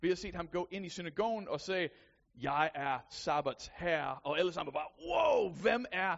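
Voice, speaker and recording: Someone with an American accent speaks at a fairly slow pace with ordinary pitch variation. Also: man. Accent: American accent in Danish. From USA. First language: English (speaking Danish). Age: 30s. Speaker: lay preacher. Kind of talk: sermon.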